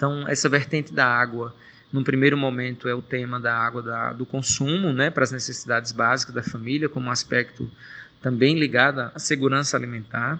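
Fairly quick in pace, the voice has a bright, sharp tone and fairly even intonation. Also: man, medium pitch for a man. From Brazil, Pernambuco sertão (Pajeú region). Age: 40s. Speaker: NGO coordinator. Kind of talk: interview.

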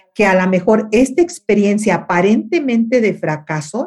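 This woman's somewhat breathy voice moves fairly slowly, its pitch varying in an ordinary way. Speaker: radio and TV host, life coach. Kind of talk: interview conversation.

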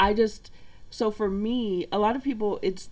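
This is a normal speaking voice. Its tempo is moderate. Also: woman. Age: 40s. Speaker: digital marketer and card reader. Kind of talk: casual chat with card reading.

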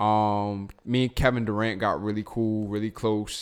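The speaker is a man with an American accent and a fairly low pitch. The recording is very clean, with a silent background. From Baltimore County, Maryland. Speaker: music producer and songwriter. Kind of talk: casual interview chat.

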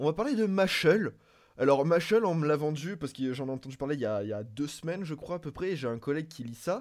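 At a very fast pace, a man talks with fairly high pitch and lively intonation. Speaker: co-host and technical operator. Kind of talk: casual chat. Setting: video call over Discord.

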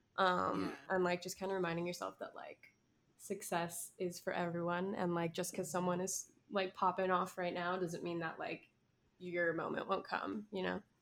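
At a moderate pace, a woman speaks with a fairly low pitch and a monotone, flat intonation. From Miami. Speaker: musician. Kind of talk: casual interview chat. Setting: video call.

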